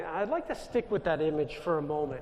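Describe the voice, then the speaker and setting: With a New York accent, a man with a high voice speaks very fast, using ordinary pitch variation. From US Northeast, Long Island, New York. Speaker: Jesuit priest. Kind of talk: inspirational talk. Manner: loud.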